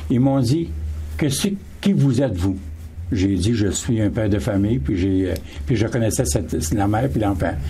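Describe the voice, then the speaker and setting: The room gives a man's voice an audible echo, and noticeable background noise sits behind him. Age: 70s. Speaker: panel guest. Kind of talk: radio panel discussion.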